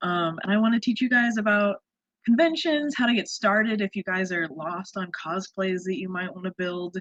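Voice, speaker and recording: With lively intonation, a woman speaks at a medium pitch. Her pace is moderate. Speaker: cosplayer. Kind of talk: online workshop presentation. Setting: video call. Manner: animated.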